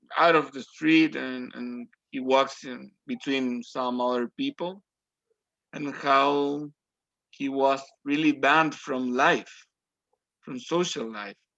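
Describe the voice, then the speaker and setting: A man with a Spanish accent and a bright, sharp tone, at a very slow pace with long, frequent pauses, big swings in loudness and fairly even intonation. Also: fairly high pitch for a man. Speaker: language student. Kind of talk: group discussion. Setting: video call. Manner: halting.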